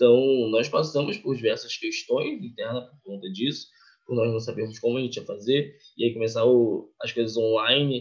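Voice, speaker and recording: A man speaks with fairly even intonation and a somewhat breathy voice. His loudness swings widely. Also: medium pitch for a man, moderate pace. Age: 20s. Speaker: youth project coordinator. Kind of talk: casual interview.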